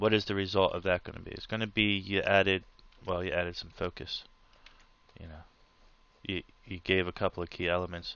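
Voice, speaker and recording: Speaking at a fairly quick pace, the man keeps a fairly low pitch and fairly even intonation. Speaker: art tutorial creator. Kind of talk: tutorial.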